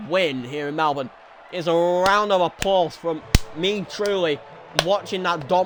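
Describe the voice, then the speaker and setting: Over music in the background, a man talks at a moderate pace in a high voice. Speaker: sim racing commentator. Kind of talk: live commentary. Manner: energetic, pushed voice.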